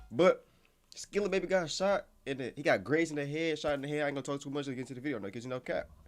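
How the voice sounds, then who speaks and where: With music in the background, a man talks at a very fast pace. His pitch is fairly high and varies in an ordinary way. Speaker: YouTube reaction channel host. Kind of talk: casual reaction commentary. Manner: animated.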